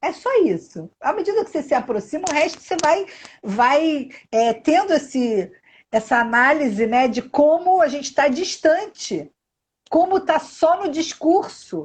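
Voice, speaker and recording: Her pitch high and swinging very widely, a woman talks at a fairly slow pace. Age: 60s. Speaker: live stream host. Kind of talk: live video chat.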